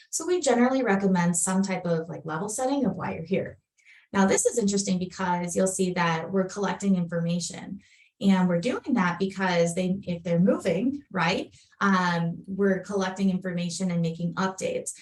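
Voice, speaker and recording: A woman speaks with a Minnesotan accent at a medium pitch. Her pace is moderate and her pitch varies in an ordinary way. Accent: Minnesota. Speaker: software product presenter. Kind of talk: webinar product demo. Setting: online webinar.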